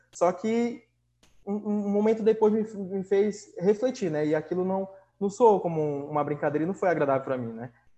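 A man's high-pitched voice has a dark, mellow tone and ordinary pitch variation. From Manaus, northern Brazil. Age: 20s. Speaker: youth NGO leader trainer. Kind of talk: casual interview chat. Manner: halting, repeats words.

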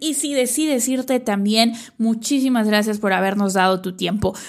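The delivery is fairly slow. Pitch varies in an ordinary way. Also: woman. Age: 30s. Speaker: business coach podcaster. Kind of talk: solo podcast monologue.

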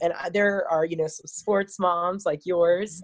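A woman speaks fairly slowly in an American accent, her pitch fairly low. Her intonation stays monotone and flat, and the sound is dry and close with no echo. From Virginia, US. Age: 40s. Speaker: elementary school teacher. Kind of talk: casual interview chat.

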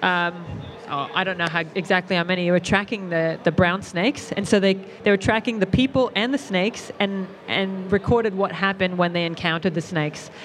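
Against noticeable background noise, a woman speaks at a fairly quick pace in a medium pitch with ordinary pitch variation. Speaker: reptile educator.

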